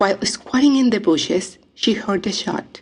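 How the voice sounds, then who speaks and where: A woman with a strong non-native accent speaks at a fairly slow pace with ordinary pitch variation. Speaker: audiobook narrator. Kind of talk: audiobook memoir reading.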